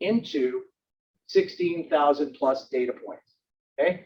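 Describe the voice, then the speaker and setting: A man with a high voice speaks loudly and at a fairly slow pace. His intonation is lively. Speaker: product presenter. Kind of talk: product demo webinar. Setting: demo room with speaker system. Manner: loud, projecting.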